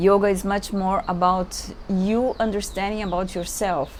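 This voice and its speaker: Speaking with a Brazilian accent, a woman talks at a fairly slow pace. Her pitch is medium. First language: Portuguese. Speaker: yoga teacher. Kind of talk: yoga class instruction. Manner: halting.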